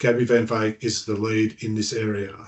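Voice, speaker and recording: In an Australian accent, a man speaks at a moderate pace with a medium pitch. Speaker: forum presenter. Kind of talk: online forum presentation. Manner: stuttering.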